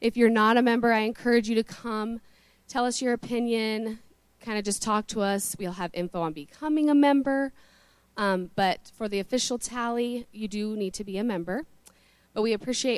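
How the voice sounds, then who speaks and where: A woman with a plain, everyday voice, fairly high pitch, ordinary pitch variation and a moderate pace. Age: young. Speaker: church board member. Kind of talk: announcement. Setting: church.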